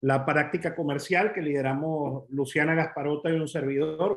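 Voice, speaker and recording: A man with an unremarkable speaking voice talks at a moderate pace in a fairly high pitch. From Venezuela. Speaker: commercial real estate advisor. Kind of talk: webinar presentation.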